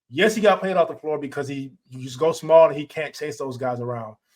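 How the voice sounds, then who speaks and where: A man with a plain, everyday voice speaks at a moderate pace and a fairly high pitch with ordinary pitch variation on a very clean recording with a silent background. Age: 30s. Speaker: basketball podcast host. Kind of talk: casual chat.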